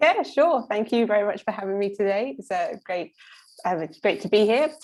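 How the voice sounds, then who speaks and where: A woman with a British accent speaks at a moderate pace, her fairly high voice swinging very widely in pitch. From UK. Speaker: scientist. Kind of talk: panel introduction. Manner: hesitant, many fillers.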